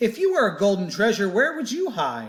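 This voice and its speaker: A man's put-on character voice, high-pitched and fairly quick. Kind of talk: bedtime story. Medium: read story.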